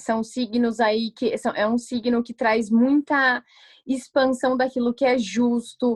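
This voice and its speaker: Very slow speech from a woman at a fairly high pitch, dry and close without echo. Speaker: astrologer giving a talk. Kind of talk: online lecture. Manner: hesitant, many fillers.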